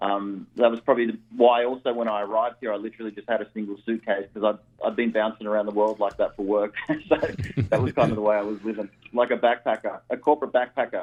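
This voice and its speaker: Speaking very fast with an Australian accent, a man keeps a medium pitch and a monotone, flat intonation. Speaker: real estate investor. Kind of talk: radio interview.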